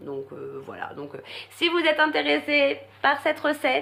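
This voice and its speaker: A woman is speaking. Her pace is moderate. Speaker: vlogger. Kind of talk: casual vlog talk. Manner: halting, many fillers.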